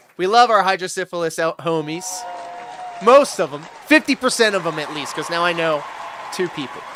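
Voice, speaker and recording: The speaker has an animated tone, lively intonation and big swings in loudness, at a fairly quick pace broken by long, frequent pauses. Crowd noise fills the background. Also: man, high pitch for a man. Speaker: livestream reaction host. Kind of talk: casual livestream commentary. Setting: livestream.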